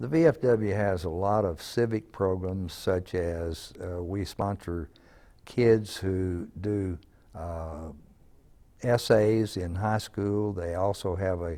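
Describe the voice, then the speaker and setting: A man with an American accent talks at a very slow pace. His pitch is very deep and low. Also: ordinary pitch variation. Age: 80s+. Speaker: war veteran. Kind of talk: interview.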